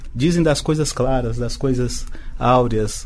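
The intonation is lively. Room echo can be heard. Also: man. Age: 50s. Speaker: business association president. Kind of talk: radio podcast interview.

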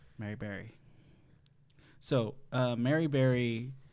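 Through audible room echo, a man with a medium pitch talks at a very slow pace with fairly even intonation. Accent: American. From Wisconsin, Madison. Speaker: game show podcast host. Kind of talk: casual chat.

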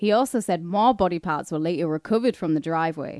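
A woman at a fairly quick pace with a northern English accent, dry, close sound with no echo, and a quiet background. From northern England. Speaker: podcast co-host. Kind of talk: casual chat.

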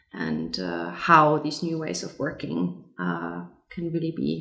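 With very wide pitch swings and vocal fry, the voice moves at a moderate pace amid audible room echo. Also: woman. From Germany. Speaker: lead designer. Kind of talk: interview.

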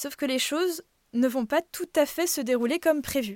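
A woman with lively intonation at a moderate pace, in a very clean recording with a silent background and a dry, close sound without echo. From Brittany, France. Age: 20s. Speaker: podcast storyteller. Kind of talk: personal first-person narration.

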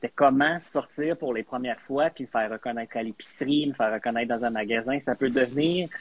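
A man talks in a normal speaking voice at a medium pitch and a moderate pace, with ordinary pitch variation and a dry, close sound with no echo. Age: 40s. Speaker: guest, media professional. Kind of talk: casual chat.

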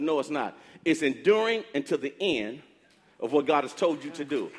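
Fairly high for a man, this man's voice shows ordinary pitch variation. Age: 60s. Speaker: pastor. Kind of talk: sermon.

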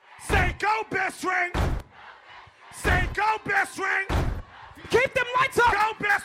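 A man shouting in an extremely high pitch, animated in tone, with ordinary pitch variation, a fairly slow pace and long, frequent pauses over music in the background. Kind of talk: radio DJ club hype patter, live party crowd work. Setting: club or party with crowd. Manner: loud, animated, hype-man shouting with call-and-response and repeated catchphrases.

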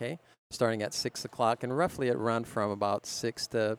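A man's unremarkable speaking voice, an American accent, medium pitch and a moderate pace. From Minnesota. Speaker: cycling event organizer. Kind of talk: casual interview chat.

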